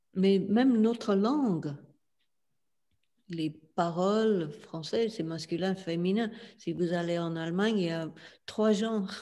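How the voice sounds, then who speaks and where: A woman with an English accent and a dark, mellow, medium-pitched voice, very slow pace, long, frequent pauses and ordinary pitch variation. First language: English (speaking French). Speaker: spiritual teacher. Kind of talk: interview. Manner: halting, many hesitations.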